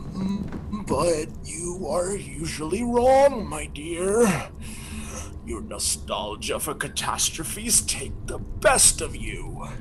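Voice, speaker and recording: Through loud background noise, a man performs a put-on character voice at a very slow pace. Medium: stage play. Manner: condescending, calm.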